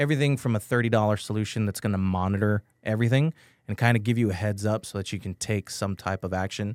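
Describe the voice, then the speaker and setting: Recorded very cleanly over a silent background, with a dry, close sound and no echo, a man speaks at a very fast pace and a fairly low pitch with ordinary pitch variation. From Texas, San Antonio. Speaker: IT and cybersecurity business owner. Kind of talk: radio interview. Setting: studio.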